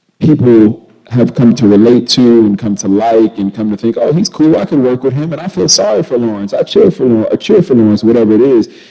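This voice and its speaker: Using an ordinary speaking voice at medium pitch, a man talks at a fairly quick pace with hardly any pauses and lively intonation. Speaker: actor. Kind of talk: interview answer. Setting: festival couch interview. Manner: casual, conversational.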